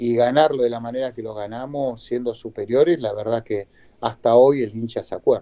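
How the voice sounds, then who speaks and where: This man has a dark, mellow tone and medium pitch, speaking with a Rioplatense accent at a moderate pace and with fairly even intonation. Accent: Argentine Rioplatense Spanish. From Argentina, Buenos Aires area (Avellaneda). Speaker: retired footballer. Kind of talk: interview.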